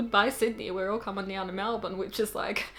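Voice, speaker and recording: A woman talks at a fairly quick clip while noticeable noise sits behind her. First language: not English. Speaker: booktuber. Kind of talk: casual show-and-tell vlog. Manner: animated, chatty.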